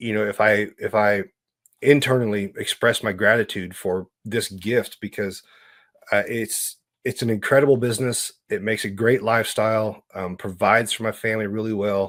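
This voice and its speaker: In a very clean recording with a silent background, a man with an American accent talks at a moderate pace in a fairly low pitch with fairly even intonation. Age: 50s. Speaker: entrepreneur. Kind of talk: interview. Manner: halting.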